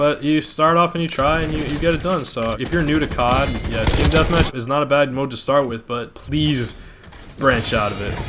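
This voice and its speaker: Against noticeable background noise, a man speaks at a moderate pace with a fairly high pitch and ordinary pitch variation. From Colombian heritage. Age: 20s. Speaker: gaming YouTuber. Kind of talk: gameplay commentary, casual.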